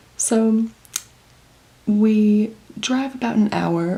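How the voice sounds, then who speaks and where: A woman with an American accent speaks at a medium pitch with fairly even intonation over noticeable background noise. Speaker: vlogger. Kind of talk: casual vlog talk to camera. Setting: condo room at night. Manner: soft-spoken, hushed.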